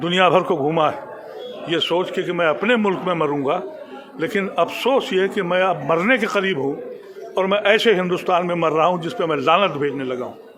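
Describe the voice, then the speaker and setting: The speech moves at a moderate pace with ordinary pitch variation, audible room echo, and noticeable background noise. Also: man, high pitch for a man. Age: 70s. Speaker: former politician. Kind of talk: interview. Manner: animated.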